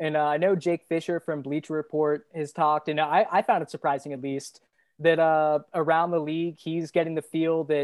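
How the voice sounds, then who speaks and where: Speaking at a moderate pace and a fairly low pitch, a woman has a normal speaking voice, recorded with a dry, close sound with no echo. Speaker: guest podcaster, basketball analyst. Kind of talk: casual sports debate.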